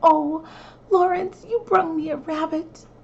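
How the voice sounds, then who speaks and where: A woman's put-on character voice, extremely high and fairly slow. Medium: read story. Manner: homey, plain-spoken.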